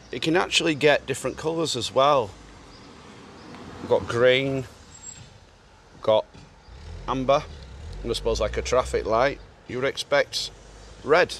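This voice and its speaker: Over noticeable background noise, a man talks at a fairly slow pace, pausing long and often. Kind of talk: casual documentary talk to camera.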